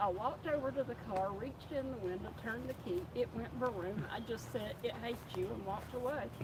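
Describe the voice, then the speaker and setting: The speaker has an Appalachian accent and leaves hardly any pauses. Noticeable background noise runs under the speech. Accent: Appalachian Southern US. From mountains of North Carolina. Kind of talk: casual chat.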